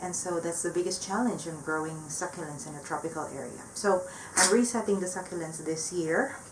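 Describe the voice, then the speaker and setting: With a non-native accent, a woman with a fairly low pitch speaks at a fairly quick pace with ordinary pitch variation and big swings in loudness, with noticeable background noise and audible room echo. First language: not English. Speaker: plant hobbyist vlogger. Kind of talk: casual vlog update. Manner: hesitant, many fillers.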